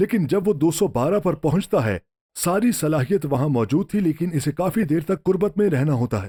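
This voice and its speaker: Recorded dry and close with no echo, a man speaks in a dark, mellow tone with lively intonation. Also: fairly high pitch for a man, very even loudness. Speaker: pastor and TV show host. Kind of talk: sermon-style preaching conversation.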